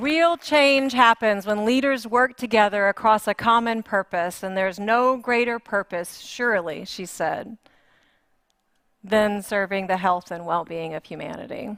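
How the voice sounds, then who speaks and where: A woman's fairly high voice with an American accent, fairly slow and lively in intonation, in a dry, close sound with no echo. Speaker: conference facilitator. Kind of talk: facilitating a group exercise at a conference. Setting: stage with live audience. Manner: conversational, with fillers.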